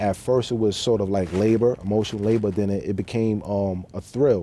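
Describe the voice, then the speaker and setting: A man with a New York accent has a dark, mellow tone and fairly low pitch, keeping fairly even intonation at a fairly quick pace. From New York City (Queens, Bronx). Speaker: formerly incarcerated man sharing his story. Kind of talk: TV interview.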